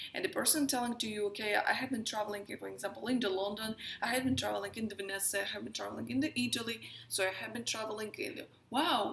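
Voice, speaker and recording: A woman at a very fast pace with a Russian accent, a fairly high pitch, ordinary pitch variation, and noticeable background noise. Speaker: astrologer and tarot reader. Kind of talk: casual talk to camera.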